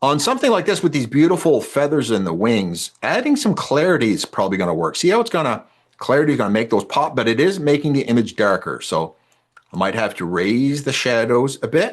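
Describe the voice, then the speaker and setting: A man's fairly high voice with vocal fry and very wide pitch swings, at a fairly quick pace over a quiet background. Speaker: wildlife photographer and photography teacher. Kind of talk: online presentation tutorial. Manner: fast.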